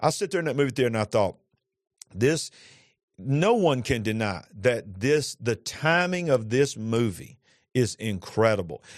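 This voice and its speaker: A man with a Southern US accent speaks at medium pitch and a moderate pace, his tone animated and intonation lively, against a quiet background. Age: 50s. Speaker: pastor. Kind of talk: religious talk show conversation. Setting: studio.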